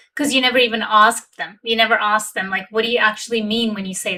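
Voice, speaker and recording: Here is a woman with a Pakistani accent. Her fairly high voice has a bright, sharp tone. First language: Urdu. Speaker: relationship coach. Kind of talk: casual chat. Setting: livestream.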